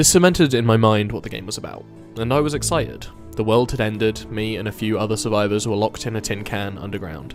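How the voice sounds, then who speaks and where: Music plays in the background as a man talks at a very fast pace. His pitch is fairly low. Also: ordinary pitch variation. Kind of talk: video essay narration.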